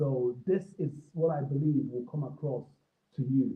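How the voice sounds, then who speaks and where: A man with an African accent, fairly high in pitch, at a fairly slow pace. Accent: African accent, noticeable on some words. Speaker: creative professional. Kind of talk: talk broadcast. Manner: hesitant, many fillers.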